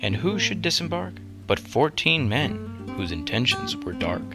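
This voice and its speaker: Music plays in the background as a man with a fairly low pitch and ordinary pitch variation talks at a moderate pace. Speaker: voiceover reader. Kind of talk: storybook poetry reading. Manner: rhythmic, playful, storytelling.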